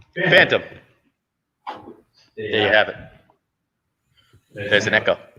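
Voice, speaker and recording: A man speaks at a moderate pace. He leaves long, frequent pauses. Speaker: live stream host. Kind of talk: casual live stream chat. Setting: live stream from a performing arts venue. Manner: loud.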